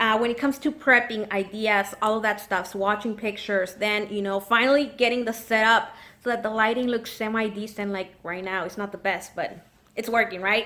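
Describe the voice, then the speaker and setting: Intonation is fairly even. The tone comes across as bright and sharp. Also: woman, fairly high pitch for a woman. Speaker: nail polish YouTuber. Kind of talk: casual chat. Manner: chatty, filler-heavy.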